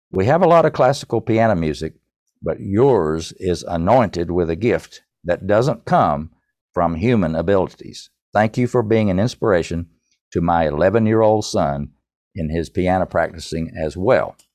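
A man with an Appalachian accent speaks at a moderate pace in a very deep, low voice, his intonation lively against a quiet background. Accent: Southern Appalachian US. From East Tennessee, US. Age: 70s. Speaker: songwriter and author. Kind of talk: interview, storytelling.

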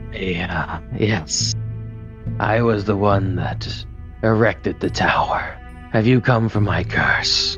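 Clear music plays in the background. The speech comes at a very slow pace. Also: man, fairly low pitch for a man. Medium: actual play. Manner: weary, resigned, apologetic.

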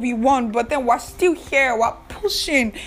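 Through noticeable background noise, a woman with a high voice speaks at a fairly slow pace. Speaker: podcast host and activist. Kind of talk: solo podcast monologue. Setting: recording alone in her room. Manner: animated.

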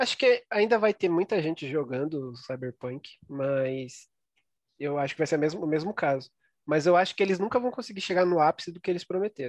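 This man talks at a fairly quick pace with lively intonation and a fairly high pitch. It's an unremarkable speaking voice, recorded dry and close with no echo against a quiet background. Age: 20s. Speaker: podcast co-host. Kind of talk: casual chat.

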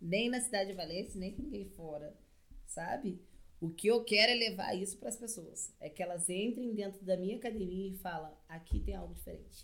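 A woman speaks at a medium pitch with ordinary pitch variation. Her pace is moderate, and her loudness swings widely. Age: 20s. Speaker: CrossFit coach. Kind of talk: casual chat.

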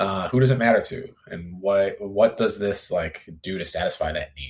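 Fairly slow delivery in an American accent, on a very clean recording with a silent background. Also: man. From US Midwest. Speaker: content marketing manager. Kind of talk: interview.

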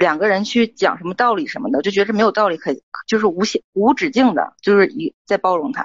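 Her medium-pitched voice moves at a fairly quick pace, and this woman's intonation is lively. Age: 30s. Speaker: caller seeking relationship advice. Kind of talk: call-in advice talk. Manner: halting.

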